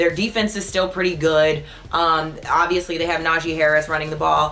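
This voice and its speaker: Against noticeable background noise, a woman speaks in an animated tone at a fairly low pitch. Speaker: sports show host. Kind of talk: casual solo sports commentary. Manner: fast.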